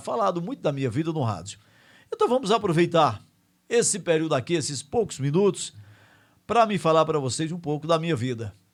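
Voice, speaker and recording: A man with a high pitch and very wide pitch swings at a moderate pace, in a very clean recording with a silent background. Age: 60s. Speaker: radio host. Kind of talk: casual radio monologue. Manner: conversational, with fillers like né.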